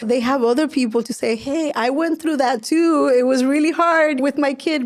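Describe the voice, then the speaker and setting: A woman speaks with a Spanish accent and ordinary pitch variation. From Spanish-speaking country, moved to US at 14. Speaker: nonprofit executive director. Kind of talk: podcast interview.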